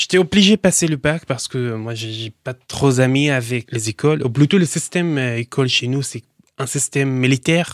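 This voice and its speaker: A man's voice comes through on a very clean recording with a silent background. The sound is dry and close, with no echo. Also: medium pitch for a man, ordinary pitch variation, moderate pace. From Syria, Daraya near Damascus. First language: Arabic (speaking French). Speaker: entrepreneur in metal recycling. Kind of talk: interview. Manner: halting.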